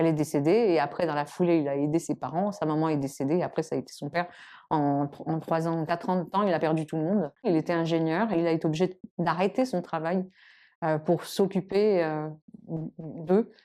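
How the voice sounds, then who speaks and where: Against a quiet background, a woman with a fairly low pitch and a dark, mellow tone talks at a moderate pace with ordinary pitch variation. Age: 60s. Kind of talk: interview testimony. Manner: halting, many fillers.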